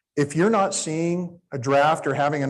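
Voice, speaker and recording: Against a quiet background, a man with an unremarkable speaking voice talks at a moderate pace and a fairly high pitch. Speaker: conference presenter on public finance. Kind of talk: conference presentation. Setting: conference room with live audience.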